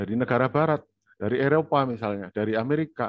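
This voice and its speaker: The speaker talks at a very fast pace with lively intonation. The background is quiet and the sound is dry, with no echo. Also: man. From Indonesia. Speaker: university lecturer. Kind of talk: online lecture. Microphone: video call.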